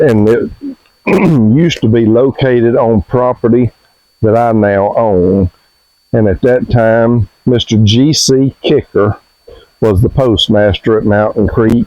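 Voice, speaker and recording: A man in an Alabama accent, medium-pitched and very slow, with long, frequent pauses, very even loudness and fairly even intonation. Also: dry, close sound with no echo. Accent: Southern US (Alabama). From US South (Alabama). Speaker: homestead vlogger. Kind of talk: casual vlog narration.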